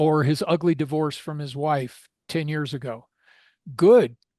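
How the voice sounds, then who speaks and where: Over a quiet background, a man with an American accent talks fairly slowly in a fairly high voice with ordinary pitch variation. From Arizona. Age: 60s. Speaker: gun rights organization board member. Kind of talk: podcast interview. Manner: casual with frequent fillers.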